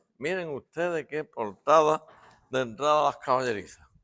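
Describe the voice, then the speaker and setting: Animated and lively in intonation, a man speaks at a moderate pace. His tone is bright and sharp, and his pitch is fairly high. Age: 60s. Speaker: local video maker. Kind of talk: video tour commentary.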